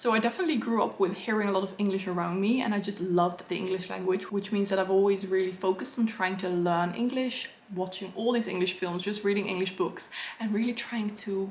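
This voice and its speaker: A woman with an English accent talks at a fairly quick pace and medium pitch, with ordinary pitch variation. Noticeable background noise is present. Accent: English-sounding accent, learned. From Netherlands. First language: Dutch. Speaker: illustrator and book content creator. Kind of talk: Q&A video, casual chat.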